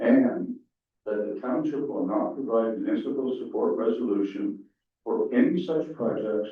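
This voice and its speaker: Audible echo from the room surrounds the voice. A man speaks at a moderate pace. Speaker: council chair. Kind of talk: council meeting.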